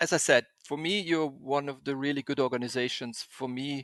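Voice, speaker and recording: Dry and close with no echo, a man's voice comes through in a German accent. His pitch is medium and his intonation fairly even. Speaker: podcast host, experiential graphic designer. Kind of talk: interview podcast. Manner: halting, many fillers and repetitions.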